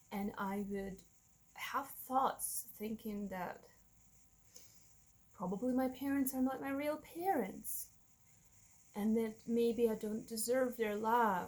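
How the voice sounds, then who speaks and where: In a Russian accent, a somewhat breathy woman speaks very slowly at a fairly high pitch, with ordinary pitch variation and long, frequent pauses. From Russia, Moscow. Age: 30s. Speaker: vlogger. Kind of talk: personal testimony. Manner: halting.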